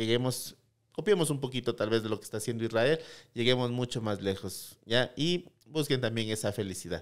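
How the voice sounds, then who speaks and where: A man speaks at a moderate pace and medium pitch, with ordinary pitch variation against a quiet background. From Ecuador, Loja province; Ecuador. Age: 30s. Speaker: tech startup CEO; guest. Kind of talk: interview. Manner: halting, many repeated words. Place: studio. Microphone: studio mic.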